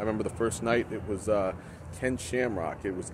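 Noticeable background noise sits behind a man whose voice has a dry sound with no echo and ordinary pitch variation. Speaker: professional wrestling ring announcer. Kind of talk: casual talk to camera, promotional reflection. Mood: nostalgic, promotional. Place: open country. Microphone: phone near.

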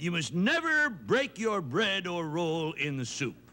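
Putting on a character voice, a man speaks fairly slowly at a high pitch in a pompous tone. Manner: pompous, blustery.

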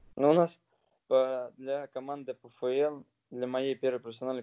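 A man's dark, mellow voice, monotone and flat, at a moderate pace over a quiet background. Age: 20s. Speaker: professional footballer; interviewee. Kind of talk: interview. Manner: halting. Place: home room. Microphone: phone near.

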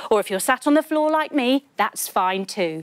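A woman is speaking. Her pitch swings very widely. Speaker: kids yoga instructor. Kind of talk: storytelling yoga tutorial. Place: studio. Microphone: lapel.

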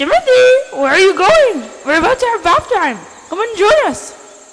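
A cartoonish character voice at an extremely high pitch, swinging very widely up and down at a moderate pace. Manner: scolding, bossy.

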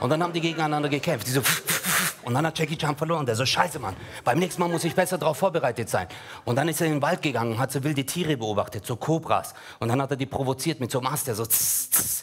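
A man talks at a very fast pace in an animated tone, his pitch fairly high with ordinary variation. His voice is somewhat breathy. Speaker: stand-up comedian. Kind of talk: stand-up. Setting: stage with audience. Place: stage. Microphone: headset.

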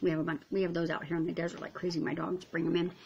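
A woman speaks at a fairly quick pace and a fairly low pitch. She has an unremarkable speaking voice. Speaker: vlogger. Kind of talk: casual vlog chat. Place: kitchen. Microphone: phone near.

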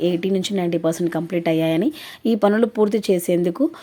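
A woman with a dark, mellow tone speaks at a medium pitch with ordinary pitch variation. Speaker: YouTube news vlogger. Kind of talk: news explainer.

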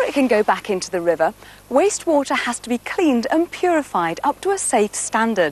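A woman with a British accent speaks fairly quickly in a high voice with very wide pitch swings, the sound dry and close with no echo but with noticeable background noise. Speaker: TV presenter. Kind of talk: scripted narration. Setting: outdoors.

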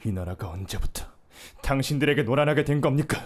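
In a put-on character voice, a man speaks very fast and quietly at a medium pitch, sounding strained, with lively intonation. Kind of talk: dubbing practice. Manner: quiet, restrained.

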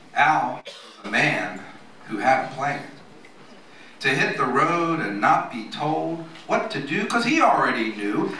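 A man with a fairly high pitch speaks at a very slow pace, his voice making very wide pitch swings. The room echo is audible, and there is light background noise. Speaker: memorial speaker reading a poem. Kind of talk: poetry reading at a memorial. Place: cafe. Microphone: camera far.

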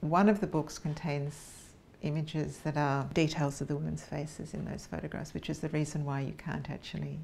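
Vocal fry at a fairly quick pace, with fairly even intonation and light background noise. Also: woman, very deep, low pitch for a woman. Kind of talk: interview answer. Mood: calm, reflective. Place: studio.

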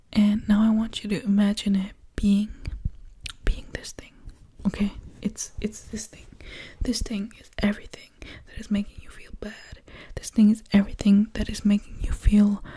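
Soft-spoken and somewhat breathy, a woman talks at a moderate pace with a dark, mellow tone. Her intonation stays monotone and flat, broken by long, frequent pauses. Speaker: ASMR creator. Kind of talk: soft guided relaxation talk. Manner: soft-spoken, close-mic murmur. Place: home room.

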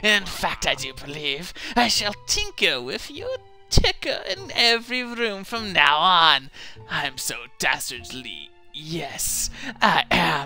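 In a put-on character voice, a man speaks at a fairly slow pace with high pitch and very wide pitch swings while clear music plays in the background. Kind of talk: comic villain voice. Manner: gloating, dastardly.

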